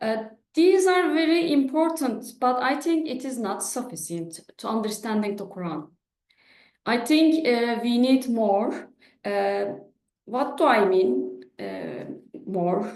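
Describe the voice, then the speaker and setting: In a Turkish accent, a woman speaks very slowly at a fairly high pitch with very wide pitch swings, amid audible room echo. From Turkey. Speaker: professor. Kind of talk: lecture. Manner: halting.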